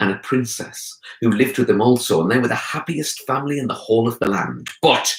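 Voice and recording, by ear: Someone is reading aloud in a natural voice, the pitch shifting an ordinary amount.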